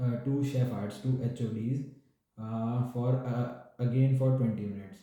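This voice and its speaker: There is audible room echo as a man speaks in a monotone, flat intonation. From India, New Delhi. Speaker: doctor. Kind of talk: interview. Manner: hesitant with fillers. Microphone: network problem.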